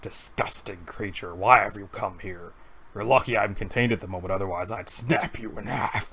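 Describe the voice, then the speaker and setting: A man uses a put-on character voice, raspy and fairly low in pitch. He speaks at a moderate pace. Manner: menacing, contemptuous.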